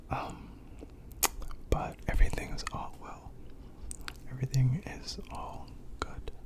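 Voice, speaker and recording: The speaker whispers fairly slowly, leaving long, frequent pauses, while noticeable background noise runs throughout. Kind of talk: casual ASMR intro to camera, catching up with viewers. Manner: soft-spoken, casual, chatty.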